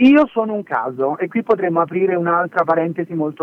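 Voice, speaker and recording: A man speaks at a fairly quick pace in a high voice, with ordinary pitch variation. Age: 30s. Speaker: entrepreneur and former record executive. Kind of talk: interview.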